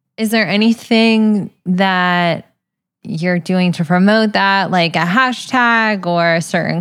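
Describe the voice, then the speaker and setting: At a fairly slow pace, a woman with an unremarkable speaking voice speaks at medium pitch with ordinary pitch variation on a very clean recording with a silent background. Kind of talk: interview. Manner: warm, encouraging.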